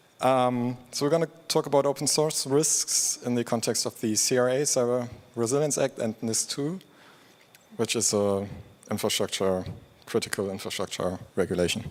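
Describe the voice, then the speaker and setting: With a plain, everyday voice, a man talks at a medium pitch and a moderate pace, with ordinary pitch variation. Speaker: open source program lead. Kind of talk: conference talk.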